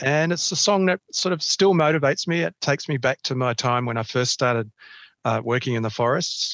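Dry and close with no echo, a man with an Australian accent speaks fairly quickly at a medium pitch, his intonation lively. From Australia, Canberra. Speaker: ecologist professor. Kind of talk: interview.

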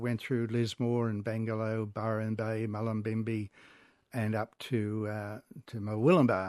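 With an Australian accent, a man speaks at a fairly slow pace in a monotone, flat intonation. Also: quiet background. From Sydney, Australia (Como, Georges River). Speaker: railway historian. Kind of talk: radio interview.

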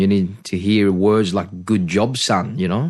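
At a moderate pace, a man with an Australian accent talks in a fairly low pitch with ordinary pitch variation. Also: quiet background. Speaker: pastor. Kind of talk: interview, life story testimony. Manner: halting, many fillers and restarts.

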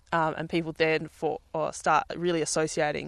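The speaker has an Australian accent. The sound is dry and close with no echo, and the background is quiet. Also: woman. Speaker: peony farmer. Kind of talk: interview.

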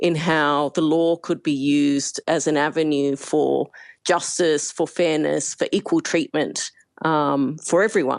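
The speaker has an Australian accent, with a quiet background. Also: woman. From Australia, Perth. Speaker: human rights campaigner. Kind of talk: interview. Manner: evenly spoken.

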